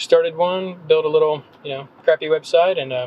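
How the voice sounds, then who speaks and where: At a moderate pace, a somewhat breathy man talks with ordinary pitch variation. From North Carolina, Gaston County small town. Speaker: copywriter and blogger. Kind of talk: podcast interview. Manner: casual, many fillers.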